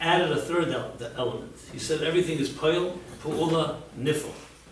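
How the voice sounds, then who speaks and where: The speaker talks with an American accent. Room echo is audible, and background noise is noticeable. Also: man. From US Northeast, Brooklyn. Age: 60s. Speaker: rabbi and lecturer. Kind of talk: lecture.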